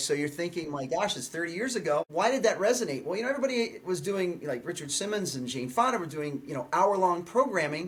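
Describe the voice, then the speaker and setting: There is noticeable background noise as a man talks at a very fast pace. His pitch is high and his intonation lively. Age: 60s. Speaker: fitness trainer and video creator. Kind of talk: podcast interview. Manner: animated.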